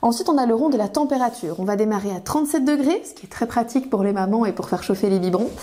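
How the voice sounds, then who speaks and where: Over noticeable background noise, a woman talks very fast with hardly any pauses, her fairly high voice lively in intonation and swinging widely in loudness. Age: 30s. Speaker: kitchen appliance sales consultant. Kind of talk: product demonstration tutorial. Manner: frequent hesitations (euh).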